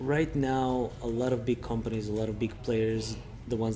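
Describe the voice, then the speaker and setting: This man speaks with a Serbian accent at medium pitch and a moderate pace, his intonation monotone and flat. Noticeable background noise and audible room echo are present. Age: 30s. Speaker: recruitment consultant. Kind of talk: interview.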